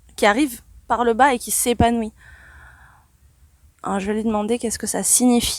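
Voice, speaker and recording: Soft-spoken and monotone with flat intonation, a woman talks in a fairly high pitch with big swings in loudness and long, frequent pauses. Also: fairly quick pace. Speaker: spiritual channeler. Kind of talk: channeling session. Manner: calm, meditative.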